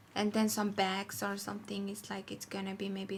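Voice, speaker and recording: A woman talks at a moderate pace with a medium pitch. Her voice is somewhat breathy. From Mongolia. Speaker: fashion designer. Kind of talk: casual interview. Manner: halting non-native English.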